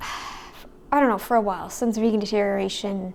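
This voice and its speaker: This woman's voice sits fairly high, with ordinary pitch variation. She talks at a moderate pace. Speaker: YouTube commentator. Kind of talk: casual reaction commentary to camera.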